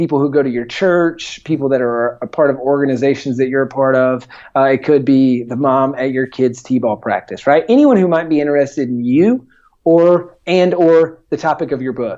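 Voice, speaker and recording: Speaking with a slight Southern US accent, a man uses a fairly high, dark, mellow voice at a moderate pace with ordinary pitch variation. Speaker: entrepreneur and author. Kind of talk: podcast interview. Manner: many filler words.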